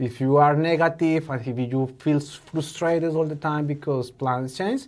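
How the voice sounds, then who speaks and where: A man with a Spanish accent and fairly high pitch speaks at a moderate pace with fairly even intonation on a very clean recording with a silent background. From Colombia. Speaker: innovation educator. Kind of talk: podcast interview. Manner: halting.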